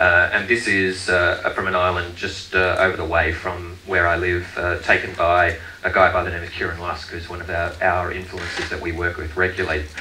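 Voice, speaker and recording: Over light background noise and audible room echo, a man with a very deep, low pitch speaks at a moderate pace in a flat monotone. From Australia (Queensland). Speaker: tourism marketing director. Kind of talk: conference presentation. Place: stage.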